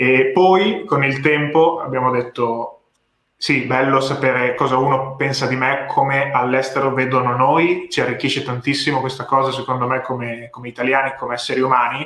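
A man talks in a plain, everyday voice at a moderate pace and medium pitch, with fairly even intonation. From Italy (Ravenna, Emilia-Romagna). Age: 20s. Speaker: content creator. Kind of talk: casual chat. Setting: live stream.

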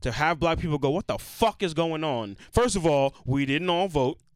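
Lively intonation runs through a man's speech at a moderate pace. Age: 30s. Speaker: podcast co-host. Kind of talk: casual chat.

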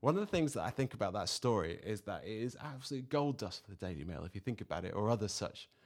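A man speaks very fast at a fairly low pitch with lively intonation, on a very clean recording with a silent background. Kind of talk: casual chat.

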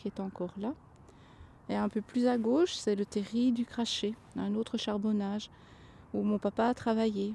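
At a moderate pace, a woman speaks in a fairly high, somewhat breathy voice with a dark, mellow tone and fairly even intonation. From Belgium. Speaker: miner's daughter. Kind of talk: testimony. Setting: outdoors.

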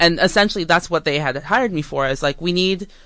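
A woman's fairly low, unremarkable speaking voice at a fairly quick pace, with ordinary pitch variation against a quiet background. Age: 30s. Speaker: social media marketer. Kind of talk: casual chat.

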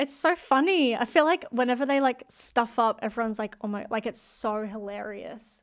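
With an Australian accent, a woman talks at a moderate pace and fairly high pitch in an animated tone, her pitch varying in an ordinary way, with hardly any pauses, on a very clean recording with a silent background. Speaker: pop singer. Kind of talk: casual interview. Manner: animated, excitable.

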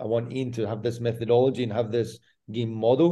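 Over a quiet background, a man with a Scottish accent speaks at a fairly quick pace with a medium pitch, a dark, mellow tone and fairly even intonation. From Scotland. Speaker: football fitness coach. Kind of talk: interview.

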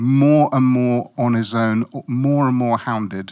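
A man with a British accent speaks with ordinary pitch variation. The recording is very clean, with a silent background. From West Africa (Guinea-Bissau), moved to UK at twelve. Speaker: lay preacher. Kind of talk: sermon.

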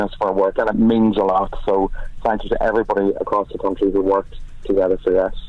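Here a man talks very fast with a Donegal accent. His fairly low voice stays monotone and flat. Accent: Donegal Irish. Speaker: pro-choice campaign canvasser. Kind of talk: interview.

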